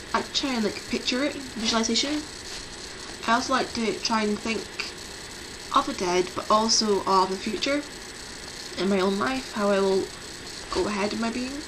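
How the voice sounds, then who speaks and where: With audible room echo and noticeable background noise, a woman speaks at a moderate pace with lively intonation and long, frequent pauses. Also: fairly high pitch for a woman. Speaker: pagan vlogger. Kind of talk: casual video talk.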